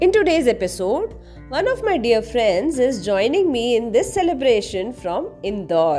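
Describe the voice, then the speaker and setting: A woman with a high pitch and very wide pitch swings speaks at a moderate pace, with music in the background. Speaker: podcast host. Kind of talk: podcast introduction.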